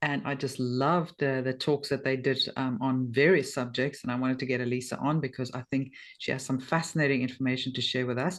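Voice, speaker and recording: A woman speaks in a South African accent with a very deep, low pitch and fairly even intonation. Her fairly quick delivery has hardly any pauses. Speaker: podcast host. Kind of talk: interview.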